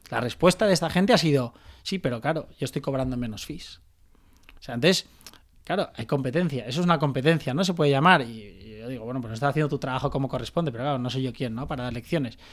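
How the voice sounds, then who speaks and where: Very fast pace from a man with a medium pitch. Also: ordinary pitch variation. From Valencia, Spain. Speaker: startup founder and CEO. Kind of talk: interview. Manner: halting, many fillers.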